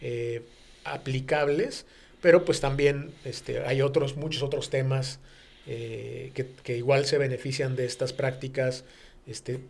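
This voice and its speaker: Somewhat breathy, a man talks at a medium pitch in a monotone, flat intonation. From Mexico City. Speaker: business executive. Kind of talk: radio interview. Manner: halting, many fillers.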